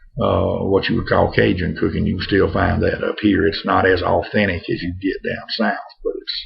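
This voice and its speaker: Over noticeable background noise, a man with a North Louisiana accent speaks in a relaxed tone. He keeps a moderate pace with hardly any pauses. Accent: North Louisiana accent, sticks out. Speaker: pipe smoking vlogger. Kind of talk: casual vlog monologue. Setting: home. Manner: relaxed, halting with fillers.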